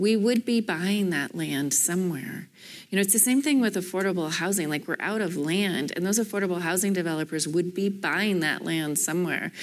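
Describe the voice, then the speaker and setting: A woman's ordinary speaking voice at medium pitch, fairly quick in pace, with ordinary pitch variation and very even loudness, on a very clean recording with a silent background. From Canada, Toronto. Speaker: real estate developer. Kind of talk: panel discussion. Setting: stage with audience.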